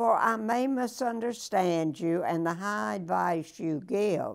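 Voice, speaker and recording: A woman speaks at a very slow pace with a warm tone. Her pitch varies in an ordinary way over a quiet background. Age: 90s. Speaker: weekly motivational speaker reading a poem. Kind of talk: poem reading aloud, warm and personable, with a short chatty intro. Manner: slow, measured, deliberate; warm, grandmotherly, sincere. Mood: calm, gentle, inspirational. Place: home room. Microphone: lapel.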